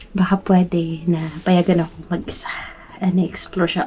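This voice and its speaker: Against music in the background, a woman speaks at a fairly low pitch and moderate pace in a monotone, flat intonation. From Philippines, Metro Manila. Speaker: vlogger. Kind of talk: vlog narration. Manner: halting; quiet.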